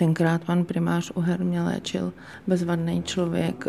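A woman is speaking here. Her voice is fairly low in pitch. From Czechia, small town near Kolín. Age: 50s. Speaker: charity founder. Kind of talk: interview.

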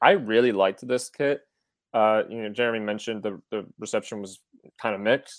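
A man with an ordinary speaking voice, medium pitch, fairly even intonation, a fairly quick pace and big swings in loudness, in a very clean recording with a silent background and a dry, close sound with no echo. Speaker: podcast co-host. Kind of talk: casual podcast chat.

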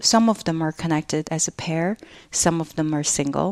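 A woman speaks with a Chinese accent at a fairly low pitch and a moderate pace. The sound is dry and close, with no echo. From northeast China (Jilin). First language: Mandarin Chinese. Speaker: installation artist and teacher. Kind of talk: interview conversation.

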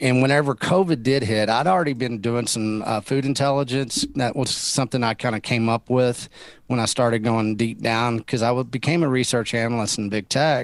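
With a Texan accent, a man talks at a fairly quick pace and medium pitch, keeping his loudness very even and hardly pausing at all. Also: ordinary pitch variation. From Texas. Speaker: rancher. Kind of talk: interview.

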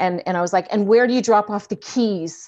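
A woman talks at a moderate pace with fairly even intonation, in an unremarkable speaking voice. The background is quiet. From Canada. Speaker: actor and addiction counselor. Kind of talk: casual interview chat.

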